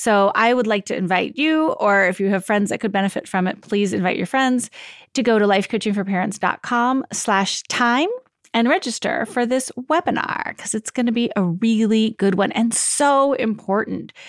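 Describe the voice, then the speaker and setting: A woman with a confident tone and a fairly high pitch speaks at a moderate pace, with ordinary pitch variation and very even loudness, in a dry, close recording that has no echo, is very clean, and has a silent background. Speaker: life coach and parenting podcast host. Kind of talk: advice podcast monologue. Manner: clear and confident.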